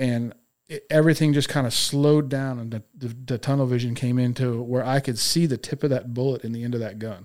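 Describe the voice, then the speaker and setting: A man's unremarkable speaking voice at medium pitch and a fairly quick pace. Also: fairly even intonation. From Texas. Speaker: police officer. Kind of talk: testimony.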